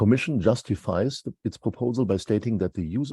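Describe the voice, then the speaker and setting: Against a quiet background, a man with a German accent speaks at a medium pitch with ordinary pitch variation, his somewhat breathy voice carrying a dark, mellow tone in a dry, close sound with no echo. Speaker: law professor. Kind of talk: prepared lecture.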